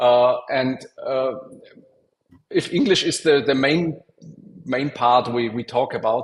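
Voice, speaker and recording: Speaking fairly slowly, a man carries a non-native accent. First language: not English. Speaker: software testing expert and speaker. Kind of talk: conference Q&A. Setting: online conference. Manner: halting.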